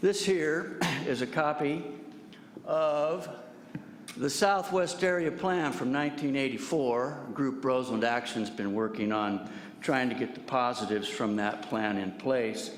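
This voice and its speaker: With audible room echo, a man in an American accent speaks at a fairly slow pace with lively intonation. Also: medium pitch for a man. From Santa Rosa, California. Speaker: public commenter. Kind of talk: public comment. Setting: public meeting.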